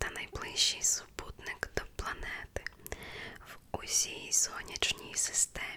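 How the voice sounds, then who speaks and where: A woman whispers in a soothing tone at a very slow pace. Noticeable background noise runs behind her. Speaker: ASMR creator. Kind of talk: ASMR whispered facts reading for sleep. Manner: whispered, soft, slow, soothing.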